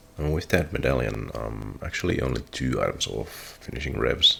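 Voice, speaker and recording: The speaker is a man. Noticeable background noise runs underneath. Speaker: gaming streamer. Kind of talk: casual gameplay commentary. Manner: whispery, quiet.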